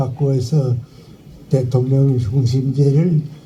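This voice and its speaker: A man speaks at a very slow pace in a monotone, flat intonation, with noticeable background noise behind him. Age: 80s+. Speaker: philosopher, professor. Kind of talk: memorial eulogy speech. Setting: outdoors.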